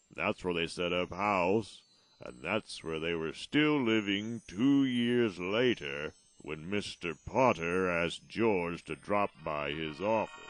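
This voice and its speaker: A man puts on a character voice, very deep and low in pitch, and speaks at a fairly slow pace. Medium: audio drama. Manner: calm, explanatory.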